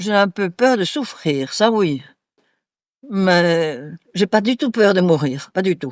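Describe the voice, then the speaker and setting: On a very clean recording with a silent background and a dry, close sound with no echo, a woman speaks very slowly at a medium pitch, with very wide pitch swings and long, frequent pauses. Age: 80s+. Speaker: retirement home resident. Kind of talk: interview.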